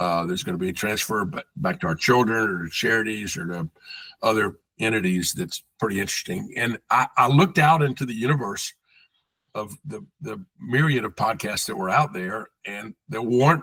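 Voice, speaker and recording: A man's bright, sharp voice at medium pitch, with lively intonation and big swings in loudness, dry and close with no echo. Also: moderate pace. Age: 70s. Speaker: sports marketing veteran. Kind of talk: podcast interview.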